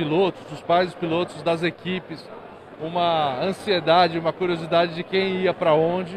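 Amid noticeable background noise, a man with a high pitch speaks at a moderate pace. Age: 40s. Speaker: motorsport company executive. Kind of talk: stage talk. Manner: halting, many fillers.

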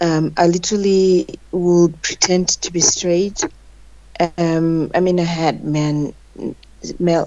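A woman with a Zimbabwean accent talks at a fairly low pitch in a monotone, flat intonation, against noticeable background noise. Her pace is very slow, with long, frequent pauses. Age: 30s. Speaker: guest. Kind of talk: casual interview.

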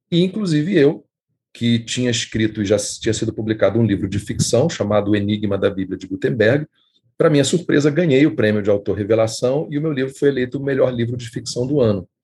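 This man's voice has a dark, mellow tone. It comes across as somewhat breathy. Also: medium pitch for a man, lively intonation. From Brazil. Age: 50s. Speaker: writer and editor. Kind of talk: interview.

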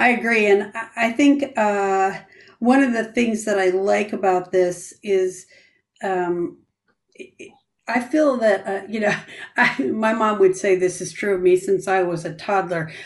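A woman speaks at a fairly slow pace in a medium pitch with ordinary pitch variation. Hers is an unremarkable speaking voice. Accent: American. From Grand Rapids, Michigan. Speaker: church ministry pastor. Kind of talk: casual faith discussion podcast. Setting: video call.

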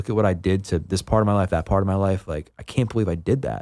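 A man's very deep, low voice at a very fast pace with ordinary pitch variation, on a very clean recording with a silent background. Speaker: personal trainer and former addict. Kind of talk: interview testimony. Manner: casual, filler-heavy.

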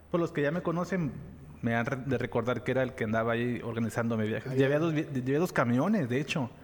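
A man's medium-pitched voice, an unremarkable speaking voice, at a fairly quick pace with ordinary pitch variation. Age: 30s. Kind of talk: casual chat.

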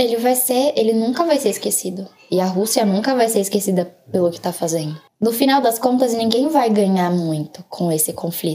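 Speaking at a moderate pace, a woman has a fairly high voice, a dark, mellow tone and lively intonation. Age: 20s. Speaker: international relations student. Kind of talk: casual chat.

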